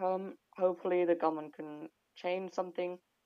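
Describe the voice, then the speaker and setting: A woman with a British accent speaks at a moderate pace with fairly low pitch and monotone, flat intonation. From Sri Lanka. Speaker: medical student. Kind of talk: interview, informative talk about home country. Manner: hesitant, many filler words.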